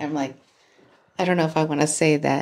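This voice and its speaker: A woman with a very deep, low pitch is heard on a very clean recording with a silent background. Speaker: true crime podcast co-host. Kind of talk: casual chat. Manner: laughs and jokes often.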